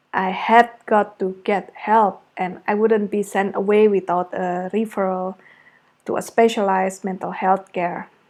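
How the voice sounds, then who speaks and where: A woman with an Indonesian accent speaks at a medium pitch and a fairly slow pace. Her intonation is monotone and flat. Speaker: creative arts therapist. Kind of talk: personal testimony. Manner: reflective, with hesitations.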